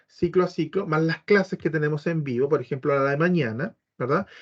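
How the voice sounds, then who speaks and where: With a Chilean accent, a man talks at a high pitch with ordinary pitch variation, recorded in a dry, close sound with no echo. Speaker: biomagnetism teacher. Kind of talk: informational talk to prospective students. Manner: fast.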